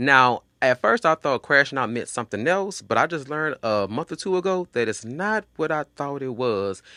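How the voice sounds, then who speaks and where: On a very clean recording with a silent background, a man with an American accent talks at a moderate pace in an animated tone, using a fairly high pitch, lively intonation and hardly any pauses. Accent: Southern twang with some Louisiana. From Texas, Houston. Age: 30s. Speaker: podcast host. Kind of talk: casual podcast monologue.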